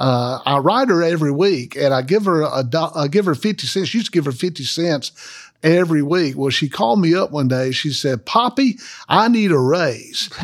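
Speaking in a Southern US accent, a man uses lively intonation at a moderate pace and a fairly high pitch. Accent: Southern US (Georgia). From US South, Macon, Georgia. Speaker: Baptist associational missionary, former pastor. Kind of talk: interview conversation, testimony.

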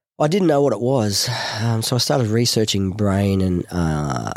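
A man's Australian accent comes through on a very clean recording with a silent background. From Newcastle, New South Wales, Australia. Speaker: war veteran. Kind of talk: casual chat. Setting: studio.

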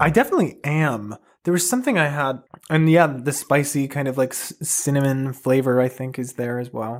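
Fairly quick and fairly even in intonation, the speech comes in a plain, everyday voice. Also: man, fairly high pitch for a man. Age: 20s. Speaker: host's son, book recommender. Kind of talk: casual chat.

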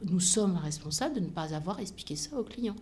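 Room echo is audible as a woman speaks with lively intonation. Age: 50s. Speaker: aviation company executive. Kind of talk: interview.

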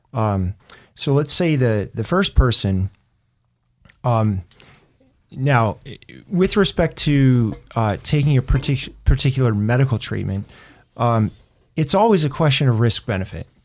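In a very clean recording with a silent background, a man at medium pitch talks at a fairly slow pace with lively intonation and long, frequent pauses. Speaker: pastor. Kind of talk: religious discussion show.

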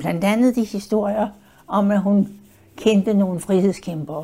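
At a fairly slow pace, a woman speaks in a somewhat breathy, medium-pitched voice with ordinary pitch variation. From Denmark. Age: 90s. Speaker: WWII eyewitness. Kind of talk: oral history interview. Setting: her apartment in a care home.

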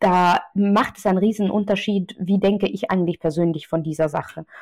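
Medium pitch from a woman, moderate pace, fairly even intonation. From Austria, Vienna. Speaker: journalist. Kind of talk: interview.

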